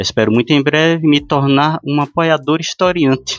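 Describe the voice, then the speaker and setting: A man speaks at a fairly slow pace in a fairly high voice. It is a plain, everyday voice. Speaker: podcast host. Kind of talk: casual chat.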